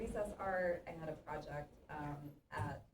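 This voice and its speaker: A woman talks with ordinary pitch variation. Audible room echo and noticeable background noise fill the recording. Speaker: interdisciplinary artist. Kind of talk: artist talk conversation. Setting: theatre with live audience, no working mic. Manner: loud, projecting teacher voice.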